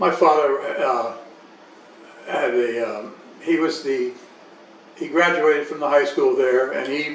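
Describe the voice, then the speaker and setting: Audible room echo and noticeable background noise come with this recording of a man. His voice is fairly high, with fairly even intonation at a fairly slow pace. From Panama Canal Zone. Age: 80s+. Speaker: interviewee recounting life story. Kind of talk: life story interview. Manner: halting, with repetitions.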